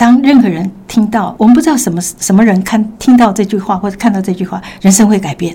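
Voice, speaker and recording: Against noticeable background noise, a woman at a medium pitch talks very fast with hardly any pauses and ordinary pitch variation. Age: 60s. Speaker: music teacher and mother, health testimony guest. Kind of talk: casual interview, personal testimony.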